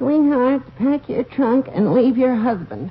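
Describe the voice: A woman uses a put-on character voice pitched high and paced fairly slowly. Light background noise can be heard.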